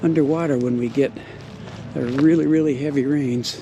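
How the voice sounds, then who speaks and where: Against noticeable background noise and audible room echo, a man speaks at a moderate pace. His voice is fairly high, with fairly even intonation. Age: 60s. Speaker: vlogger. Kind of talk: casual vlog walkthrough. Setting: outdoors. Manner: conversational, rambling walk-and-talk.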